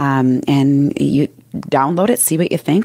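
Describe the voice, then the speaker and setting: Lively intonation runs through this dry, close recording with no echo. The speaker has a Minnesotan accent and keeps a moderate pace. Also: woman. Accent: Minnesota. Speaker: business and mindset coach. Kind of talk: casual interview.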